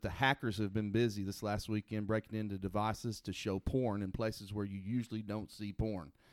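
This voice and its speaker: A man with an American accent uses a normal speaking voice, fairly low in pitch, at a fairly quick pace. The sound is dry and close, with no echo. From Oklahoma. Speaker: podcast co-host. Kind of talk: casual chat.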